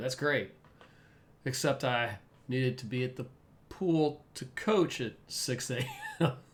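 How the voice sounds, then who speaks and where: A man is speaking. His voice is somewhat breathy. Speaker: podcast co-host and swim coach. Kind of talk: casual chat.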